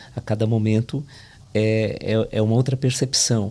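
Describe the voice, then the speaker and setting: A man with a somewhat breathy voice keeps his intonation fairly even. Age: 60s. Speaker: literary critic. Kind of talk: podcast panel discussion.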